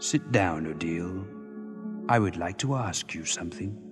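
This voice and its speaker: Over clear background music, a man performs a put-on character voice at a very deep, low pitch and a moderate pace. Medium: audio drama. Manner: cold, contemptuous.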